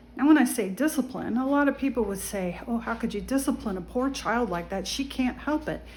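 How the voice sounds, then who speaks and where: A woman's high-pitched voice at a fairly quick pace, hardly any pauses, ordinary pitch variation, and noticeable background noise. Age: 60s. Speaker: vlogger giving life advice. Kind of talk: casual monologue. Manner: conversational, with fillers.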